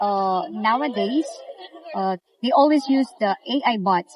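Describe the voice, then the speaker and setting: With crowd noise in the background, a woman speaks with lively intonation. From Philippines. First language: Filipino. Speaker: travel assistant. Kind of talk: interview. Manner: halting, repeats words.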